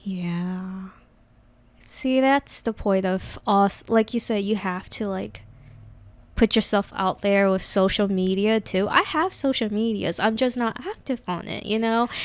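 A soft-spoken woman talks at a fairly slow pace and medium pitch with ordinary pitch variation, on a very clean recording with a silent background. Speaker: Twitch streamer. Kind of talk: casual chat. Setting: podcast recording.

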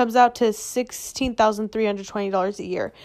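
In an American accent, a woman with an unremarkable speaking voice talks at a fairly high pitch with fairly even intonation, recorded very cleanly over a silent background. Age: 20s. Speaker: podcast host, entrepreneur. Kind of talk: casual monologue; reading aloud.

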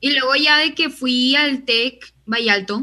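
Her voice is high-pitched for a woman, with a bright, sharp tone. The pitch varies in an ordinary way. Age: young. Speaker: university student. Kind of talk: casual chat.

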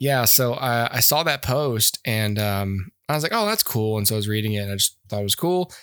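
A man talks in a normal speaking voice at medium pitch and a fairly quick pace, with hardly any pauses and ordinary pitch variation. The sound is dry and close, with no echo. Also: very clean recording, silent background. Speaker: podcast host, movie reviewer. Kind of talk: casual chat, movie review podcast.

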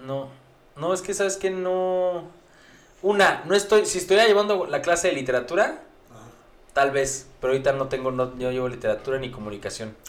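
Pitched high for a man, his lively intonation and big swings in loudness come at a moderate pace amid audible room echo. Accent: Mexican. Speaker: podcast co-host. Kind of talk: casual chat. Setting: studio.

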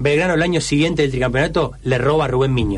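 Amid noticeable background noise and audible room echo, a man with a fairly high pitch talks at a fairly quick pace in an Argentine accent. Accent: Rioplatense Argentine Spanish. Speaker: radio host. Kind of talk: casual chat.

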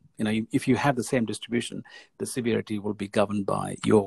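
The voice has vocal fry and a flat monotone, delivered at a very fast pace. The sound is dry and close, with no echo. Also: man, big swings in loudness. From India. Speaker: plastic surgeon. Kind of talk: interview.

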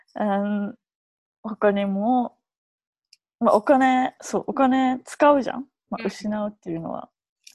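The delivery comes at a fairly slow pace with long, frequent pauses, big swings in loudness, ordinary pitch variation, a somewhat breathy quality and a dry, close sound with no echo. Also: woman, fairly high pitch for a woman. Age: 20s. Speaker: dancer and choreographer. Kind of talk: casual chat. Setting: video call.

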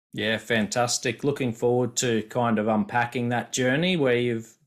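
A medium-pitched male voice with an Australian accent and ordinary pitch variation, very clean recording against a silent background. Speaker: podcast host. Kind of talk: interview.

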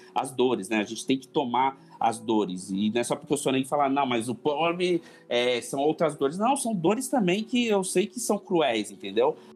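Music plays in the background while a man talks at a moderate pace. His pitch swings very widely. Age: 40s. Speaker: church member and business administrator. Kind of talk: casual chat.

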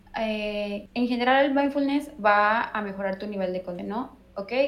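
Noticeable background noise sits behind the speaker. A woman talks at fairly high pitch. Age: 20s. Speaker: meditation teacher. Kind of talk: interview.

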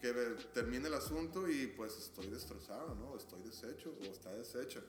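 A man speaks at a moderate pace with lively intonation. There is audible room echo and noticeable background noise. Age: 30s. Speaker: podcast guest. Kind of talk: casual chat.

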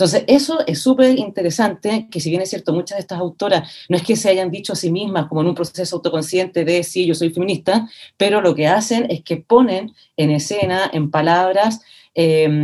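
A woman's fairly low voice, dark and mellow in tone, with lively intonation. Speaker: theatre researcher and author. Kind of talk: casual interview chat.

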